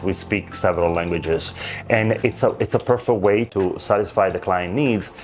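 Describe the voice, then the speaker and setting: A man with an Italian accent, fairly low in pitch, at a moderate pace over music in the background. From Italy. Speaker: luxury real estate agent. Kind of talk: interview answer.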